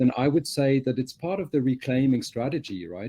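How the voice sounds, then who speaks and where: The voice has a dark, mellow tone and ordinary pitch variation. It moves at a fairly quick pace over a quiet background. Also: man. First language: French. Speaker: communications professional, webinar panelist. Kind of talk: panel discussion.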